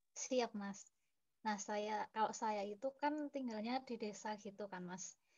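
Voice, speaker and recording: A woman with a fairly high pitch talks very slowly, her intonation fairly even. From Purworejo, Central Java. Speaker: student. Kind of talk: class discussion.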